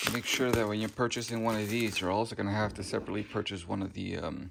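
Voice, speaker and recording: A man with vocal fry, a fairly low pitch and a fairly quick pace. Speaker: car DIY video creator. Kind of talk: tutorial. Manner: loud; casual, enthusiastic.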